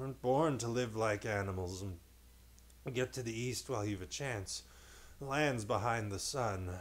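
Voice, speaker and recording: Putting on a character voice, a man mumbles at a medium pitch and a moderate pace, leaving long, frequent pauses. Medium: read story. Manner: sleepy, mumbling.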